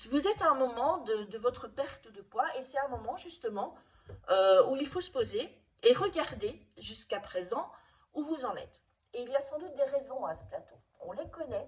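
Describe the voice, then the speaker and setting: This woman's high voice moves through very wide pitch swings. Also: moderate pace, big swings in loudness. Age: 60s. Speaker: nutrition and wellness coach. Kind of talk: advice video to camera. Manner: hesitant, with repetitions and fillers.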